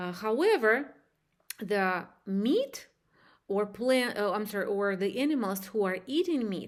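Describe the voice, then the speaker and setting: In a very clean recording with a silent background, a woman with a non-native accent speaks fairly slowly at a fairly high pitch, her intonation lively. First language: not English. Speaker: hypnosis practitioner. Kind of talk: spiritual talk to camera. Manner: halting.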